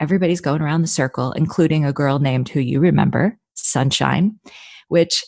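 With a North Jersey accent, a woman speaks at a moderate pace in a very deep, low pitch. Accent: North Jersey American. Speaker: actor. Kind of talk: interview.

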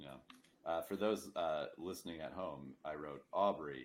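A man's very deep, low pitch with vocal fry, ordinary pitch variation and a fairly slow pace. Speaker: podcast host. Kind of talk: casual chat.

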